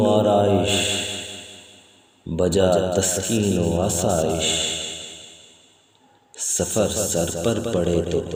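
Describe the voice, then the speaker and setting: A man's loudness stays very even despite noticeable background noise. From Pakistan. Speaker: poet. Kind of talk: poetry reading.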